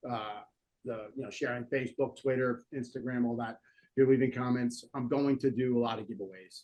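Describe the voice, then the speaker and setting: A man with a New Jersey accent speaks at a fairly quick pace. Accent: New Jersey American. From North Jersey, US. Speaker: political commentary show host. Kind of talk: casual talk show chat. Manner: halting with many fillers.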